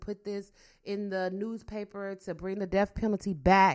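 A woman of medium pitch speaks at a moderate pace in an animated tone, recorded very cleanly against a silent background. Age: 40s. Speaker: podcast host. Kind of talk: casual chat.

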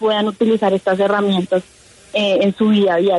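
The speaker has a Colombian accent and keeps a moderate pace. Noticeable background noise is present. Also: woman. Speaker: engineer and programming contestant. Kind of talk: radio interview.

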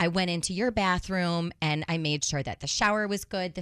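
Recorded very cleanly against a silent background, with a dry, close sound and no echo, a woman with an unremarkable speaking voice and fairly low pitch speaks at a fairly quick pace with ordinary pitch variation. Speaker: radio co-host. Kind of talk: casual chat.

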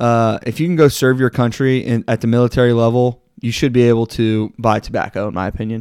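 In a normal speaking voice with an American accent, a man talks at a fairly quick pace with hardly any pauses, a medium pitch and fairly even intonation, in a very clean recording with a silent background and a dry, close sound with no echo. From Texas. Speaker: sports podcast co-host. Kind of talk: casual chat.

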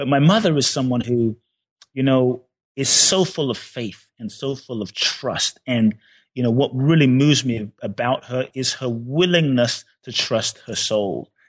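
A man with a Ghanaian accent talks at a fairly slow pace and a medium pitch. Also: ordinary pitch variation. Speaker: personal development author. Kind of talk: interview.

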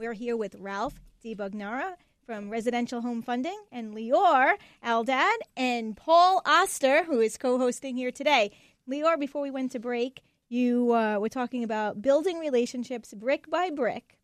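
The delivery moves at a moderate pace. Its intonation is lively. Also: woman, high pitch for a woman. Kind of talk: radio host patter: a brisk, polished station ID and break bumper. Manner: upbeat, warm, fluent and brisk, with a crisp announcer-style delivery.

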